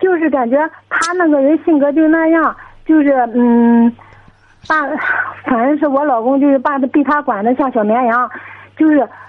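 Her voice is high-pitched with ordinary pitch variation, and this woman talks at a moderate pace. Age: 20s. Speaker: caller with family problem. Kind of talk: radio call-in advice. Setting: phone call. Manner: halting. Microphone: crackly phone line.

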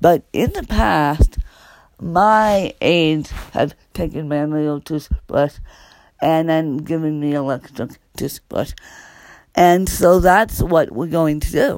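A woman speaks at a very slow pace with long, frequent pauses. Her very deep, low voice shows ordinary pitch variation. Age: 30s. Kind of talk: casual personal vlog monologue. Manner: halting, many fillers and repetitions.

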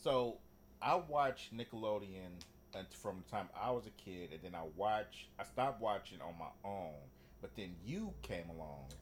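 A man at fairly low pitch and fairly slow pace, with lively intonation, big swings in loudness and music in the background. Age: 30s. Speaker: podcast co-host. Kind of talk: casual chat.

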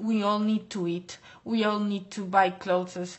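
A woman talks at a very slow pace in a Spanish accent. Her medium-pitched voice stays monotone and flat. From Basque Country, Spain (Bilbao). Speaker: fashion model. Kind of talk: interview. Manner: hesitant, filler-heavy.

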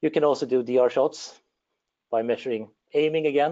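A man with a Swedish accent talks at a fairly quick pace. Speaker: engineer. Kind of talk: technical presentation.

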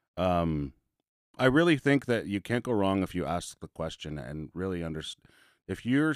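The pace is fairly quick. The sound is dry and close with no echo, on a very clean recording with a silent background. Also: man. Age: 40s. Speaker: social worker. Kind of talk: casual chat. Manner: talkative.

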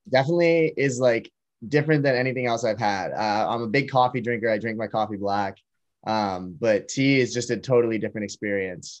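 Against a quiet background, a man with an American accent talks fairly quickly at a medium pitch with ordinary variation, in an unremarkable speaking voice. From Massachusetts, near Boston. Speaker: college student and clothing startup founder. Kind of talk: casual interview.

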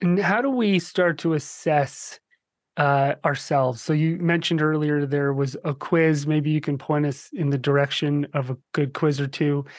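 The speaker has an American accent and keeps a moderate pace. The background is quiet. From New Jersey. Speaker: summit interviewer. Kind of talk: interview.

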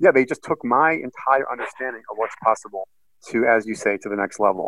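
An American accent at a very fast pace. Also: man. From US Northeast (Boston, Massachusetts). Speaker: financial strategist. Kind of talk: interview. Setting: call.

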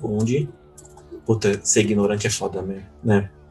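A man speaking at a very slow pace over music in the background. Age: 30s. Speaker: podcast host. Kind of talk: casual chat.

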